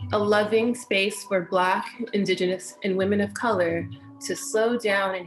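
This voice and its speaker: With an American accent, the speaker talks in a calm tone at a fairly slow pace over music in the background. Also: woman, medium pitch for a woman, ordinary pitch variation. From US West Coast, Inglewood, Los Angeles. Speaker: meditation teacher. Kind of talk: talk introducing herself before guided meditation. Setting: online webinar livestream.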